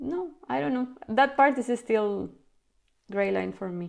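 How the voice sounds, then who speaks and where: A woman with a non-native accent speaks at a fairly slow pace with lively intonation, recorded very cleanly against a silent background. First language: not English. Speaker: podcast host and consultant. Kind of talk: casual interview chat.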